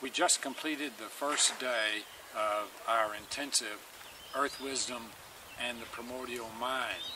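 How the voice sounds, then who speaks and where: A man talks at a fairly slow pace with fairly even intonation. There's noticeable background noise, and the sound is dry with no echo. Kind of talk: informal lecture-style summary. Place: garden. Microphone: camera far.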